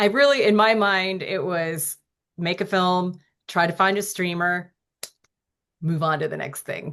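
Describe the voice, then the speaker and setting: A woman speaks at a fairly slow pace with long, frequent pauses. Her pitch is medium with ordinary variation, over a quiet background. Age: 60s. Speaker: author and filmmaker. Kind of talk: interview. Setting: podcast.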